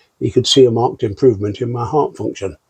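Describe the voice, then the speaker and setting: This man has a British accent and a medium-pitched voice. His tone is dark and mellow, and somewhat breathy. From UK. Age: 70s. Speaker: long COVID patient. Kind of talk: interview answer.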